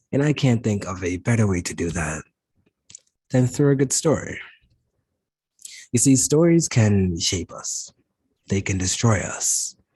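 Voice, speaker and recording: This man has a fairly low pitch and a dark, mellow tone, sounding somewhat breathy at a moderate pace. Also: quiet background. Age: 20s. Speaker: motivational speaker, spoken word presenter. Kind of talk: inspirational spoken word presentation to health care professionals.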